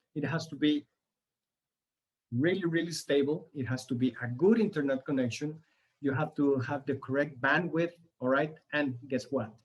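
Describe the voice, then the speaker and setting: Speaking at a moderate pace with long, frequent pauses, a man uses a fairly high, somewhat breathy voice. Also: ordinary pitch variation. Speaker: workshop presenter, sales professional. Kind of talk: online workshop presentation. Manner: halting, many fillers and repetitions.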